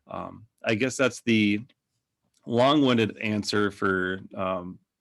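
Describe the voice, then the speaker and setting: With a Minnesotan accent, a man speaks at a fairly low pitch. His intonation is fairly even. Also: very clean recording, silent background. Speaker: digital agency owner. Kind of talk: podcast interview. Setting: podcast.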